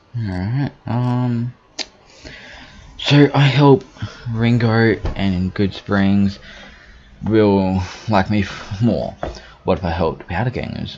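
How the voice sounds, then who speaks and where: A man speaks at a very slow pace with a fairly low pitch, ordinary pitch variation, and long, frequent pauses over noticeable background noise. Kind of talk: casual let's-play commentary, reading dialogue choices.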